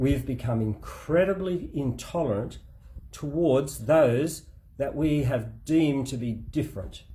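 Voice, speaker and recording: In an Australian accent, a man with a fairly high pitch and a dark, mellow tone talks fairly slowly with lively intonation and vocal fry. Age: 60s. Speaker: spouse giving a case update. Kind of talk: spoken opinion monologue. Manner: emphatic, impassioned.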